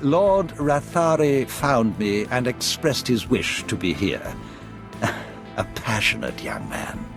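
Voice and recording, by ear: Over clear background music, a man uses a put-on character voice at medium pitch with vocal fry, big pitch swings and a slow pace.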